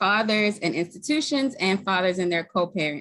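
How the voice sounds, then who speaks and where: Speaking with a slight Baltimore accent, a woman has a medium pitch and ordinary pitch variation. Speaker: community group co-lead. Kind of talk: formal webinar introduction.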